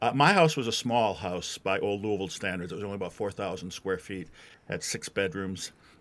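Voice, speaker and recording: In a very clean recording with a silent background, a man with an American accent and an ordinary speaking voice talks at a fairly low pitch and a fairly quick pace, with ordinary pitch variation. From Wisconsin. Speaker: author. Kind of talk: interview.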